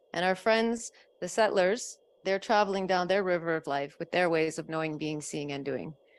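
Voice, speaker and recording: Captured on a very clean recording with a silent background, a woman with a Canadian accent speaks at a fairly quick pace with ordinary pitch variation. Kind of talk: panel discussion. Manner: fast.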